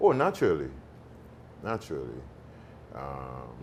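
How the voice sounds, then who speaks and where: Amid audible room echo, a man with a Haitian accent speaks at a fairly slow pace with vocal fry. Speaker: actor. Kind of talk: interview. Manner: halting, many fillers.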